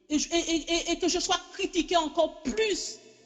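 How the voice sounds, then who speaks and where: A woman's voice with music in the background. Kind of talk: sermon. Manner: halting, repetitive; impassioned.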